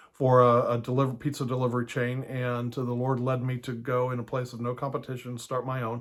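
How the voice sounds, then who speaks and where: This man talks at a fairly quick pace. His pitch sits in the medium range. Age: 60s. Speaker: house church pastor and teacher. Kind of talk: teaching talk.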